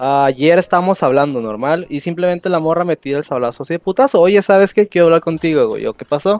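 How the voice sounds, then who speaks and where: Talking at a fairly quick pace, a man uses a fairly high pitch with ordinary pitch variation. The sound is dry and close with no echo. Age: 20s. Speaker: caller. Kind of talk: casual chat. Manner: halting.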